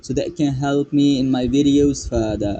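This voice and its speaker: There is noticeable background noise. Over it, a man speaks at a fairly high pitch. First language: Pashto. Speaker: English teacher YouTuber. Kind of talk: casual tutorial.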